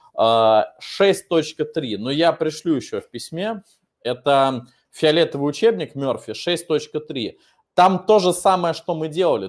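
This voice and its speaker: Lively intonation at a very slow pace against a quiet background. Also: man. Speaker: English teacher. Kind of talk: online lesson, Q&A. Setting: online video class. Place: classroom. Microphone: webcam.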